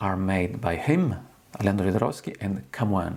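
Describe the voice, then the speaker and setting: A man speaks with an Italian accent. His pitch is fairly low. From Italy. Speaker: tarot reader. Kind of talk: tutorial. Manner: halting.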